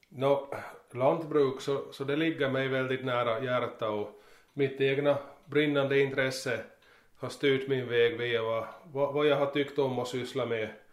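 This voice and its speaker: With audible room echo, a man with an Ostrobothnian accent speaks at a fairly slow pace in a monotone, flat intonation. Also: medium pitch for a man. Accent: Finland-Swedish, Ostrobothnian dialect. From Ostrobothnia, Finland (Närpes). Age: 40s. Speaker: farmer. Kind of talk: interview. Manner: halting, many repetitions.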